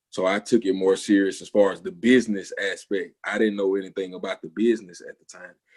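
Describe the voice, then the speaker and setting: Rushing at a very fast pace with hardly any pauses, a man with a fairly low pitch speaks in a monotone, flat intonation while his loudness swings widely. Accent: strong Southern. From US South, Alabama. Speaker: music producer. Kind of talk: interview. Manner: casual, slangy.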